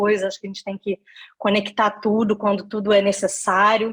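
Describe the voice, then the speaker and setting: A woman with a fairly high voice speaks at a moderate pace in a flat monotone. The sound is dry and close, with no echo. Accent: Rio de Janeiro. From Brazil, Rio de Janeiro state (Niterói). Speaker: career and leadership consultant, lecturer. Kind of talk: online lecture / masterclass.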